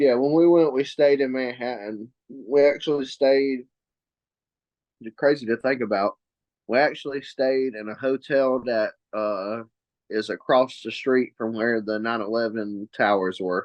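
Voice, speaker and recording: A Southern accent at a fairly slow pace, with ordinary pitch variation. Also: man, medium pitch for a man. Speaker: guest, longtime basketball fan. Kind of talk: casual chat.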